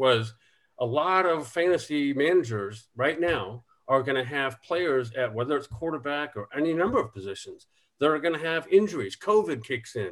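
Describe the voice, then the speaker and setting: A man has a normal speaking voice, fairly high in pitch. He keeps a moderate pace with lively intonation. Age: 50s. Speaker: former NFL quarterback, fantasy football analyst. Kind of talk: casual chat.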